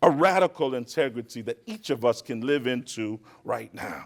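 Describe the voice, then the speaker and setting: Here is a man with an unremarkable speaking voice and lively intonation at a moderate pace. The recording is very clean, with a silent background. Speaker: keynote speaker. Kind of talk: speech. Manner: oratorical.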